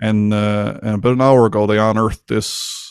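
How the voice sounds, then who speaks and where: A man talks with a Newfoundland accent in a fairly low voice. His intonation is monotone and flat. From Newfoundland, Canada. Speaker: podcast host. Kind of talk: casual interview chat. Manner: fast talker.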